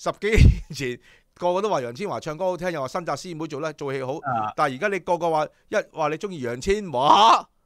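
Against a quiet background and with a dry sound with no echo, a man talks at a fairly quick pace in an animated tone with ordinary pitch variation. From Hong Kong. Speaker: horse racing show host. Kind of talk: casual chat. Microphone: studio mic.

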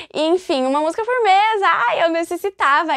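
Amid noticeable background noise, a woman speaks at a fairly slow pace in an animated tone with lively intonation. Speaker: music YouTuber. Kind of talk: casual vlog talk about music.

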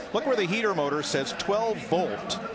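This man sounds enthusiastic, with lively intonation. Noticeable background noise runs behind him. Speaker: car auction commentator. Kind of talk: live commentary. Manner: enthusiastic, admiring.

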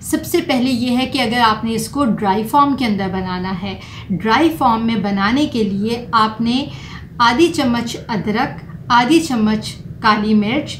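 Clear background noise sits behind a woman's fairly high voice. She speaks fairly slowly with few pauses and ordinary pitch variation.

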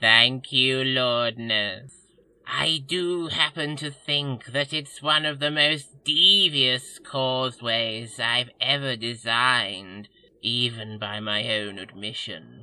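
In a put-on character voice, the speaker talks at a very slow pace with a low-to-middle pitch. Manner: obsequious, gushing, over-excited.

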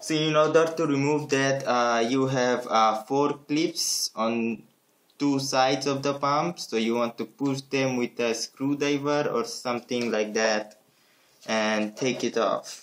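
At a very slow pace, a man with a non-native accent speaks at a medium pitch with ordinary pitch variation. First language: not English. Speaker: tech YouTuber. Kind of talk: hardware teardown tutorial. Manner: hesitant, many filler words.

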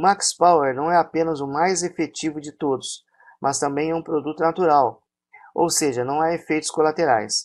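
A man with a Brazilian accent, fairly high-pitched, at a moderate pace with ordinary pitch variation, on a very clean recording with a silent background. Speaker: product promoter. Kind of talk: infomercial sales pitch. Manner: pushy, repetitive hard-sell urging to buy; hyped, exaggerated promises.

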